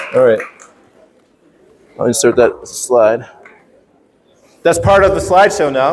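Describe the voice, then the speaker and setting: The speech moves at a fairly slow pace with long, frequent pauses and very even loudness. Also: man. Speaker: workshop presenter, teacher. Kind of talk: workshop presentation. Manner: teacher voice, projected.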